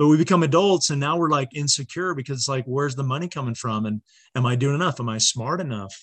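A man with a fairly high, somewhat breathy voice talks very fast. His pitch varies in an ordinary way, and the background is quiet. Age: 40s. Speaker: social worker and mentor. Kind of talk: casual chat.

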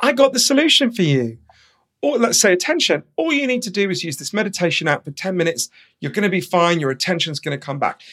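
In a London accent, a man speaks very fast at a high pitch with very wide pitch swings, on a very clean recording with a silent background. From London, England. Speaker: author. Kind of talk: interview.

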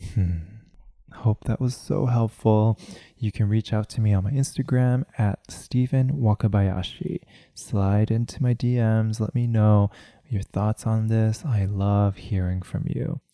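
A man speaks at a fairly slow pace in a medium pitch, with ordinary pitch variation. His tone is dark and mellow, and the sound is dry and close with no echo. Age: 30s. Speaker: podcast host, mindfulness speaker. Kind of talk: solo podcast monologue on mindfulness.

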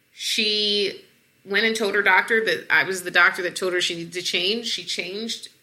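A woman with an American accent speaks at a moderate pace and medium pitch. Her tone is bright and sharp, with monotone, flat intonation. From US South, Atlanta. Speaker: obesity medicine physician. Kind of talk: interview.

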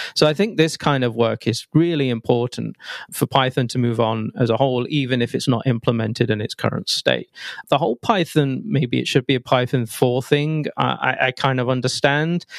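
With an English accent, a man talks at a medium pitch. His pitch varies in an ordinary way. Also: moderate pace, dry, close sound with no echo. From England. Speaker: software developer and tech writer. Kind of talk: casual technical interview.

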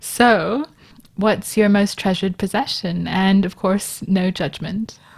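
A woman's calm, soothing, somewhat breathy voice at a medium pitch, very slow, with ordinary pitch variation. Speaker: podcast host. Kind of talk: casual interview chat.

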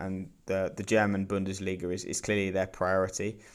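Someone with a British accent speaks at a fairly quick pace in a monotone, flat intonation on a very clean recording with a silent background. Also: man. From Britain. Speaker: football journalist. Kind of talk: casual chat.

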